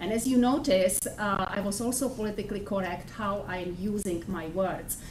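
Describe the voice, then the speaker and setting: A woman with a Czech accent talks at a moderate pace with ordinary pitch variation, amid light background noise and audible room echo. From Czech Republic. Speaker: professor. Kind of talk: lecture. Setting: classroom. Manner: halting. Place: classroom.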